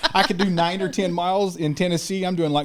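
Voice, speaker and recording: Over noticeable background noise, a man talks in an animated tone at a fairly quick pace. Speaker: military veteran truck driver recruiter. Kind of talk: casual chat.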